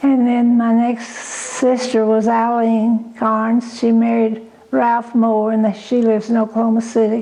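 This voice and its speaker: A fairly high-pitched woman with an Arkansas accent, flat and monotone, at a fairly slow pace over noticeable background noise. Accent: Southern US (Arkansas). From US South, Cane Hill, Arkansas. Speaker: oral history interviewee. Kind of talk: oral history interview.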